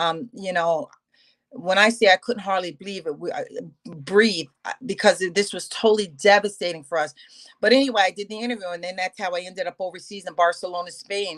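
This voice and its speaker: The sound is dry and close, with no echo. Speech moves at a fairly quick pace with ordinary pitch variation. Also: woman. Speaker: business loan broker. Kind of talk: interview. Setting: remote call. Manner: loud; halting.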